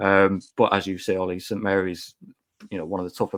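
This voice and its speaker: A man with a Teesside accent and a very deep, low pitch, at a fairly quick pace in a flat monotone, on a very clean recording with a silent background and a dry, close sound with no echo. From Teesside, northern England. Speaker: football podcast guest pundit. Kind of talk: casual chat.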